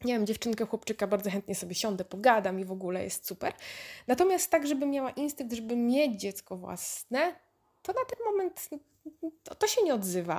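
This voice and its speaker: A woman's fairly high voice at a fairly quick pace, animated in tone, with very wide pitch swings. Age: 30s. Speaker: podcaster. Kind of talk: casual monologue.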